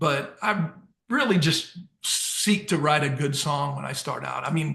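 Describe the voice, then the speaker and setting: This man, with an American accent, talks at a fairly slow pace in a fairly high pitch, his tone bright and sharp, with vocal fry and ordinary pitch variation. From US Midwest, St. Louis area and Southern Illinois. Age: 50s. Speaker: country songwriter and singer. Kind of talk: interview. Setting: remote call.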